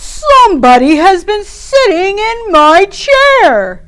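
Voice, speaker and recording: A woman's put-on character voice, extremely high, with very wide pitch swings at a very slow pace. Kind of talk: bedtime story. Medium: read story.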